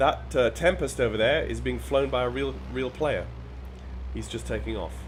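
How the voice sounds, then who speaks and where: The pace is fairly quick. Background music can be heard. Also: man. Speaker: flight sim streamer. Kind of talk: gameplay commentary. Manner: halting, repeats words.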